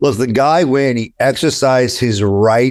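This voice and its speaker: With a New York accent, a man talks in an animated tone at a medium pitch with ordinary pitch variation, on a very clean recording with a silent background. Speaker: attorney. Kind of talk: interview. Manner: animated, with frequent repetitions.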